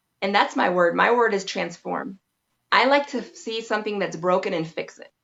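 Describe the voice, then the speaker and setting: A woman speaks at a moderate pace and medium pitch with ordinary pitch variation. Her loudness swings widely. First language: Spanish. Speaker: massage therapist, branding expert. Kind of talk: interview.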